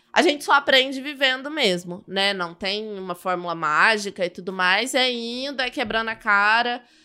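Lively intonation from a woman with a bright, sharp tone at a moderate pace, on a very clean recording with a silent background. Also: fairly high pitch for a woman, hardly any pauses. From Brazil, southern Minas Gerais (Muzambinho). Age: young. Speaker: criminal defense lawyer. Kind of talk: casual interview.

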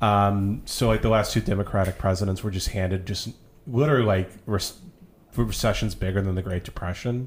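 A somewhat breathy man's voice, fairly low in pitch, with fairly even intonation and an American accent. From rural Texas. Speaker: guest. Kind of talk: casual chat.

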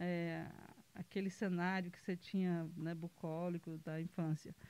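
A woman is speaking. She has a Ceará accent. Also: dry, close sound with no echo. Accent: Northeastern Brazilian (Cearense) Portuguese. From Brazil, Ceará (Pedra Branca, rural). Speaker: football club president. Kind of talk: casual interview. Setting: studio.

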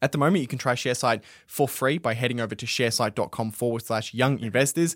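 A man with an Australian accent talks at a very fast pace and a medium pitch, with ordinary pitch variation, in a dry, close recording that is very clean, with no echo and a silent background. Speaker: podcast host. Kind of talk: casual chat. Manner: casual, filler-heavy.

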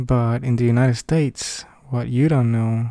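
The intonation stays fairly even, with a dark, mellow tone. The sound is dry and close, with no echo. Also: man. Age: 30s. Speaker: podcaster and father working from home. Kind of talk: unscripted personal monologue. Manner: halting, many fillers. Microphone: cheap equipment, no audio processing.

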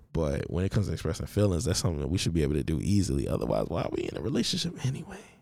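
A man talks at a very fast pace with a very deep, low pitch and vocal fry. His tone is dark and mellow, with very wide pitch swings. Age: 20s. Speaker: podcast host. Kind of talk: casual solo monologue. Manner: casual, joking, slangy.

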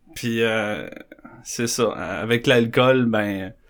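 A man at a medium pitch and a very slow pace. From Quebec, South Shore of Montreal. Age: 30s. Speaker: recovering alcoholic sharing his story. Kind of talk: testimony.

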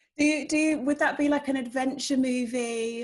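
A woman with a British accent and ordinary pitch variation. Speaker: online show host. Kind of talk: interview.

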